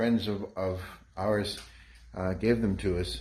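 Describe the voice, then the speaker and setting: The speaker is a man with a somewhat breathy voice. He talks at a fairly slow pace. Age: 60s. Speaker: home gym owner, strength trainer. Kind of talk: casual video walkthrough. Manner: halting.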